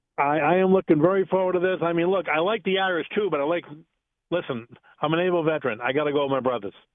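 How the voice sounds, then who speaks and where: Speaking at a very fast pace, a man with a Boston accent uses a high-pitched voice. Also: ordinary pitch variation. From Boston area. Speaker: radio caller, sports fan. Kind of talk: call-in radio chat. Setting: phone call. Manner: animated.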